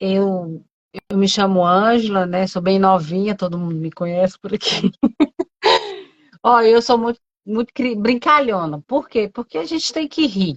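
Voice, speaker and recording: A woman talks at a fairly slow pace, with long, frequent pauses. Her medium-pitched voice has lively intonation. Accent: Brasília. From Brazil, Brasília. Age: 40s. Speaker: pastor. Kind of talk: testimony in casual interview.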